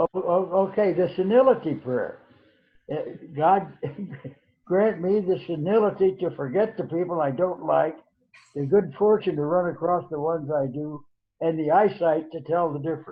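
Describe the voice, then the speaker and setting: A man's high voice rises and falls in an ordinary way as he speaks at a moderate speed. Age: 80s+. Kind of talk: interview answer. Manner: halting, repetitive.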